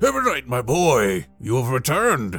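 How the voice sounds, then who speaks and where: A man booms out a put-on character voice at medium pitch. His pace is moderate, with faint music in the background. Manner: jovial, warm.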